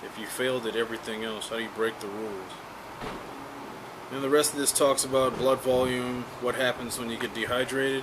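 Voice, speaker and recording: An American-accented man speaks at a moderate pace with medium pitch. His intonation stays fairly even against noticeable background noise. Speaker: YouTuber teaching survival skills. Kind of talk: casual tutorial, commenting on a read-out text. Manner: casual, with many fillers.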